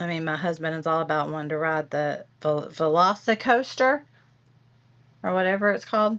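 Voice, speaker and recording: Speaking at a moderate pace with a Southern US accent, a woman uses a very deep, low pitch and ordinary pitch variation against a quiet background. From Tennessee. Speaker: livestream host. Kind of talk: casual chat. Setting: livestream.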